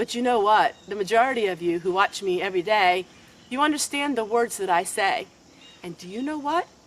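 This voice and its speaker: Talking at a fairly quick pace, a woman with a Pennsylvania Dutch accent has a fairly high pitch, lively intonation and big swings in loudness. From Lancaster County, Pennsylvania. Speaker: homesteading vlogger. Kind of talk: casual talk to camera.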